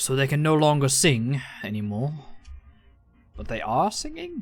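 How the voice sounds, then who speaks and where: The put-on character voice drawls along at a moderate pace. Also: man, fairly high pitch for a man. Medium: actual play. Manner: cryptic, slow and drawled.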